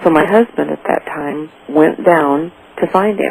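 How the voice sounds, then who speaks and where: Noticeable background noise behind a woman with ordinary pitch variation. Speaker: mother of a kidnapped child. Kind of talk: radio interview. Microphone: too quiet.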